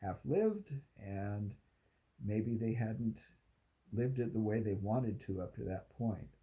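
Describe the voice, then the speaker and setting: Pitch moves in an ordinary way at a fairly slow pace. The tone is dark and mellow, somewhat breathy. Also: man. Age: 60s. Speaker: content creator on aging. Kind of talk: talking-head video monologue. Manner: halting with fillers.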